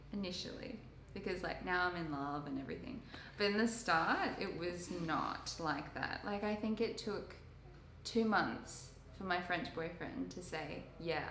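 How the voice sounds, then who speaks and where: A woman speaks at a fairly slow pace with a fairly low pitch and ordinary pitch variation. Light background noise and audible room echo are present. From Sydney, Australia. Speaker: intern. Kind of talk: casual chat. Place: home room. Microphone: camera far.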